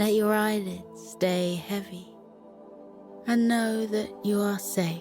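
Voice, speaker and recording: A woman speaks very slowly at a fairly low pitch, in a gentle tone with ordinary pitch variation. Music plays in the background. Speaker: bedtime story narrator. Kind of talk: children's sleep meditation. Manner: slow, gentle.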